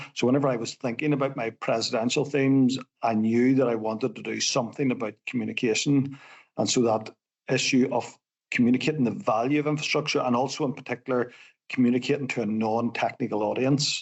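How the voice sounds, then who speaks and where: Speaking very fast, a man uses a Northern Irish accent. His medium-pitched voice keeps a fairly even intonation. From Northern Ireland. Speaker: civil engineer. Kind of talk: podcast interview.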